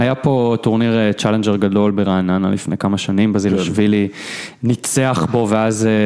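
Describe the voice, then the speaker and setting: Here a man with a normal speaking voice and a fairly low pitch talks at a moderate pace, with fairly even intonation and very even loudness. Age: 30s. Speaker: tennis blogger. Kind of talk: casual chat.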